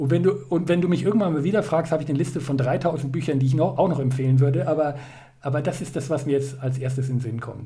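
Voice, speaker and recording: In a room with audible echo, a man with a fairly high pitch and a dark, mellow, somewhat breathy tone speaks at a very fast pace with fairly even intonation. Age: 40s. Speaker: life coach. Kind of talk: interview. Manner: halting.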